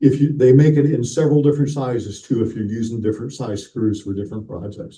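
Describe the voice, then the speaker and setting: With a dark, mellow tone and some breathiness, a man speaks very fast at a medium pitch with ordinary variation and big swings in loudness. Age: 60s. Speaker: model railroad clinic presenter. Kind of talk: hobby workshop presentation. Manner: halting, repeats words.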